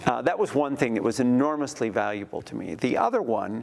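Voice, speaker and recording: This man has an ordinary speaking voice, pitched medium, with ordinary pitch variation. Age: 60s. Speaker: former church intern, ministry leader. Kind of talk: interview testimony.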